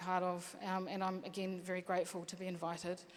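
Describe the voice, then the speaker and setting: A woman with a New Zealand accent at a fairly quick pace. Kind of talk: panel talk.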